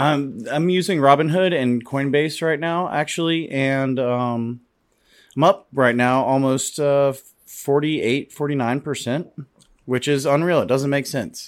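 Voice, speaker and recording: Here is a man with an unremarkable speaking voice at a fairly high pitch, talking at a fairly slow pace with fairly even intonation. The recording is very clean, with a silent background. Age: 30s. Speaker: bartender. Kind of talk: casual chat.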